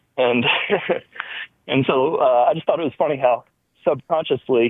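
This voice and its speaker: A man with an American accent speaks at a fairly quick pace with a fairly high pitch. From US South. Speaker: caller. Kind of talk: casual chat.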